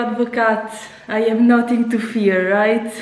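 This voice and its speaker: A woman speaks at a fairly high pitch in an Italian accent. Noticeable background noise and audible room echo fill the recording. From Italy. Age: 30s. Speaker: YouTuber. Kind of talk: casual reaction vlog. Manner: animated.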